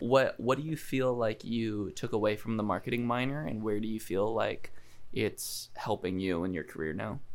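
Here a man talks in an ordinary speaking voice at a medium pitch. His pace is moderate and his pitch variation ordinary. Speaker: podcast host. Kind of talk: casual interview.

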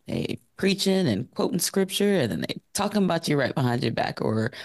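This man has an ordinary speaking voice. His intonation is lively, and his pace is moderate. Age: 40s. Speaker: podcast panelist. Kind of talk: casual chat.

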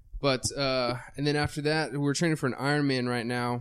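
A man's plain, everyday voice, a plain, everyday voice at a moderate pace. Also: very clean recording, silent background. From Texas. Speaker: fitness podcast co-host. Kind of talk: casual chat.

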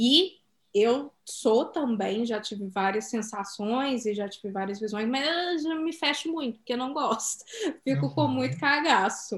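Somewhat breathy and fairly high in pitch, a woman speaks at a fairly slow pace with very wide pitch swings. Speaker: podcast co-host. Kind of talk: casual chat.

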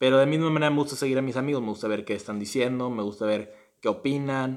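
A man's medium-pitched, fairly even delivery in a plain, everyday voice. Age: 20s. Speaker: podcast co-host, university student. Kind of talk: casual chat.

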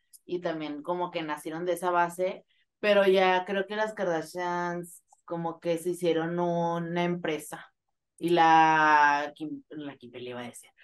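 A woman speaks in an ordinary speaking voice. Her pitch sits fairly low and her pace is fairly slow. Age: 20s. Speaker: podcast co-host. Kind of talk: live casual chat with listeners. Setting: online live session with audience.

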